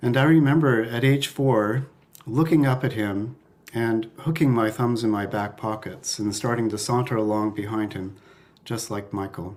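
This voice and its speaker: A man with a Canadian accent and an unremarkable speaking voice, medium pitch, ordinary pitch variation and a moderate pace. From Canada, Toronto area (Don Mills). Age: 60s. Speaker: family member giving a eulogy. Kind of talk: eulogy. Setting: online memorial service.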